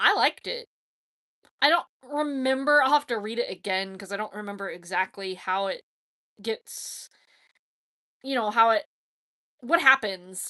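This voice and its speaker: A woman speaks loudly with lively intonation at a moderate pace, pausing long and often. The sound is dry and close with no echo, over a quiet background. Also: fairly high pitch for a woman. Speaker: blind NASCAR fan livestreamer. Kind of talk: casual livestream chat. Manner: animated.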